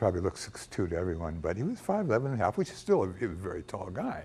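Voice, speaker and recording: In an American accent, a man talks very fast with a somewhat breathy voice and very wide swings in pitch. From US, Los Angeles (West Hollywood). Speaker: celebrity hairstylist, speaker at fan event. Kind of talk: storytelling talk to audience. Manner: animated.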